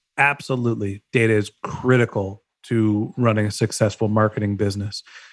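A man speaks in a normal speaking voice at a medium pitch and a moderate pace. His loudness stays very even, his intonation is fairly even, and the recording is very clean with a silent background. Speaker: podcast host. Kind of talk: casual interview.

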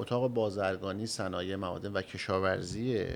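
This man has an unremarkable speaking voice, pitched fairly low. He talks at a fairly slow pace with lively intonation. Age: young. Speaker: chamber of commerce president. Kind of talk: radio interview. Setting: studio. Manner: formal.

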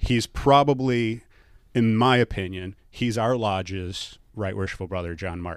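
A man speaks at a fairly slow pace in an ordinary speaking voice. His pitch is fairly low, with ordinary variation. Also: very clean recording, silent background. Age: 40s. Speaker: Freemason and wealth manager. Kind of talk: casual interview.

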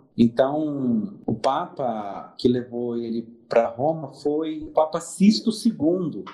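Over music in the background, a man speaks in a fairly high pitch with lively intonation. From Espírito Santo, Brazil (Cachoeiro de Itapemirim). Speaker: permanent deacon. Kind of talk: interview.

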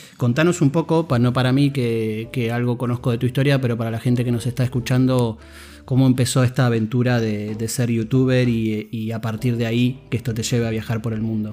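Speaking fairly quickly with an Argentine accent, a man holds a medium pitch and fairly even intonation while music plays in the background. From Argentina. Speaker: podcast host. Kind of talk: interview.

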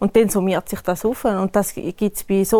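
A woman with an eastern Swiss accent at a moderate pace. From eastern Switzerland, canton Thurgau. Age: 30s. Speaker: wedding planner. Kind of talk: casual interview chat.

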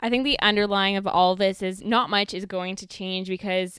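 On a very clean recording with a silent background, a woman with a plain, everyday voice speaks at a medium pitch and a fairly quick pace. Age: 20s. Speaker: podcast co-host. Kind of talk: casual chat.

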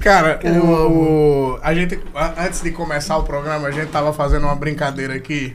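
A man at a moderate pace and fairly high pitch with hardly any pauses, plus audible room echo and noticeable background noise. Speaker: podcast host. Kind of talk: casual chat. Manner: animated.

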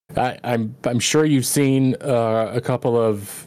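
A man with an ordinary speaking voice talks at a medium pitch with fairly even intonation on a very clean recording with a silent background. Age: 30s. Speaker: former streamer. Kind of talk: casual chat.

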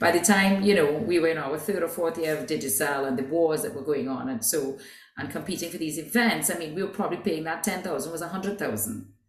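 A woman talks at a fairly quick pace in a fairly low pitch, her intonation lively. Noticeable background noise and audible room echo are in the recording. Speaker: business executive. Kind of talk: interview.

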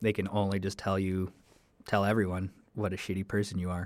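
With a Canadian accent, a man talks at a moderate pace in a fairly low pitch. His intonation is monotone and flat, and the recording is very clean with a silent background. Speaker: podcast host, college student. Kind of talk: solo podcast monologue, casual. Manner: halting, casual with fillers.

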